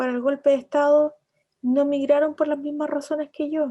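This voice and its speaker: A woman's high-pitched voice with a dark, mellow tone comes through over a quiet background. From Chilean Patagonia (Coyhaique). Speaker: writer. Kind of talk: interview. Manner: hesitant, many repetitions and fillers.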